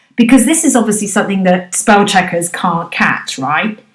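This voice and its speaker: A woman with a British accent speaks at a moderate pace, her medium-pitched voice somewhat breathy and her intonation lively. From Britain. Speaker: business English trainer. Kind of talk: podcast discussion.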